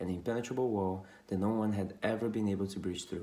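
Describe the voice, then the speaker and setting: Audible room echo surrounds a man with a non-native accent and a dark, mellow tone. He speaks at a moderate pace with fairly low pitch and fairly even intonation. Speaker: storyteller. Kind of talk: storytelling. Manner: informal, with some hesitations.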